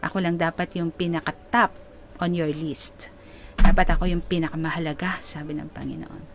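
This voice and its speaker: The speaker is a woman with a fairly low pitch. She talks at a fairly slow pace. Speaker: preacher / pastor. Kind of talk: sermon, preaching to a congregation in Taglish. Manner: explanatory, conversational, rhetorical questions.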